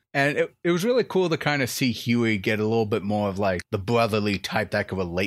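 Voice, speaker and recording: A man's normal speaking voice with lively intonation, dry and close with no echo, on a very clean recording with a silent background. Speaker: YouTube reviewer. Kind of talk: casual review chat.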